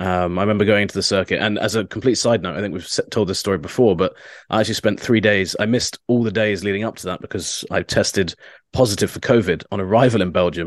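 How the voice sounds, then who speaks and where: At a very fast pace, a man with a British accent and a fairly low pitch talks with fairly even intonation. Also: quiet background. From England. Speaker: motorsport journalist. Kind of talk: casual podcast chat.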